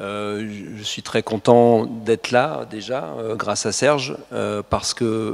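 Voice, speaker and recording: At a very slow pace and with hardly any pauses, a man talks at a fairly low pitch with ordinary pitch variation and big swings in loudness. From France. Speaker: journalist and photographer. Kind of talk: talk to an audience. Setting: hall with audience. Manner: hesitant, many fillers.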